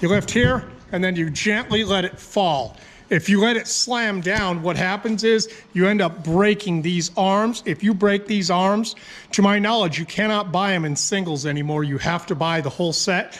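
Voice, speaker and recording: A man with a high-pitched voice at a moderate pace. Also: ordinary pitch variation. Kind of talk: tutorial. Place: garage. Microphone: phone near.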